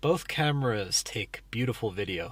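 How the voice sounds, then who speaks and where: Lively intonation from a man at a moderate pace, on a very clean recording with a silent background. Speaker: travel vlogger. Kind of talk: tutorial. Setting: outdoors. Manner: soft-spoken.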